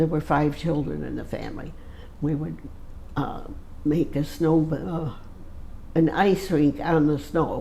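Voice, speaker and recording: A woman's very deep, low pitch in an American accent, fairly slow with long, frequent pauses and fairly even intonation, amid audible room echo and noticeable background noise. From Michigan, US Midwest. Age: 80s+. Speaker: centenarian interviewee. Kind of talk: casual interview. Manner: halting.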